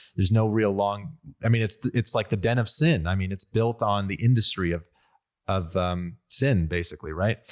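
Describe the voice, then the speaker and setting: On a very clean recording with a silent background, a man with a Western US accent talks at a moderate pace with ordinary pitch variation. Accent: American, western US. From Las Vegas, US. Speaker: podcast host. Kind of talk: casual conversation.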